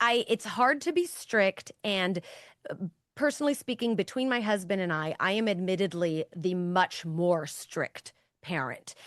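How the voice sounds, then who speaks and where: Over a quiet background, a woman talks fairly slowly at a medium pitch with lively intonation, the sound dry and close with no echo. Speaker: parenting author and guest. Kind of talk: interview conversation. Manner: loud; emphatic.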